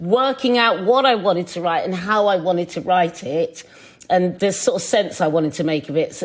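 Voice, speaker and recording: Speaking at a moderate pace, the woman has a British accent. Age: 50s. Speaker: chef and TV presenter. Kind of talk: podcast interview. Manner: halting.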